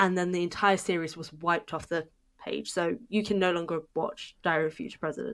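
A woman with a British accent speaks at a moderate pace, her pitch fairly low with ordinary variation. The recording is very clean, with a silent background. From Britain. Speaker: podcast host and author. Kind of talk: casual chat.

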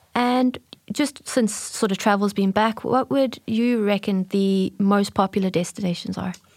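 A woman's medium-pitched voice with a South African accent and ordinary pitch variation. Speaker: marketing manager and podcast co-host. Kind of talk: casual chat.

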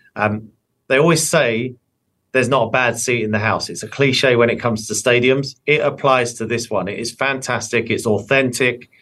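A man with an English accent and a bright, sharp tone, medium in pitch, at a moderate pace with fairly even intonation. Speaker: sports broadcaster. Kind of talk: interview.

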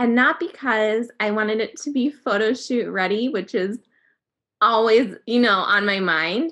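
A woman speaks in an American accent at a fairly slow pace. She has an unremarkable speaking voice with a fairly high pitch. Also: ordinary pitch variation. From US Upper Midwest (North Dakota, Minnesota). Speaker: magazine digital editor, cancer survivor. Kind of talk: personal story in interview.

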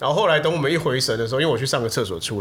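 A man talks at a very fast pace with lively intonation. Audible room echo surrounds his voice. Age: late 30s. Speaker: video production company head. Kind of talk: casual chat.

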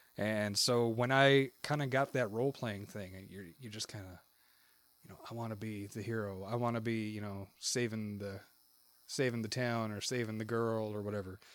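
A man with a plain, everyday voice talks at a moderate pace and a fairly low pitch, his intonation fairly even but his loudness swinging widely. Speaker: podcast co-host. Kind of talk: casual chat. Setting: Discord call.

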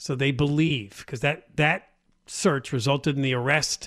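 The man has an unremarkable speaking voice and a medium pitch, with fairly even intonation at a moderate pace. His recording is very clean, with a silent background. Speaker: talk radio co-host. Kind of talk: talk radio chat. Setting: radio studio.

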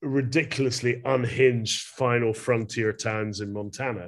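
A man with a Glasgow accent, medium in pitch, against a quiet background. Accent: Scottish (Glasgow). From Scotland, Glasgow. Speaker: fine art photographer. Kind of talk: interview conversation. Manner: halting with fillers.

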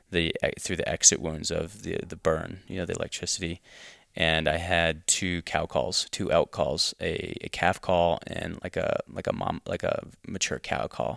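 Moderately paced, a man speaks with an American accent. The recording is very clean, dry and close, with no echo and a silent background. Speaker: chef. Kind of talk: interview. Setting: at his home.

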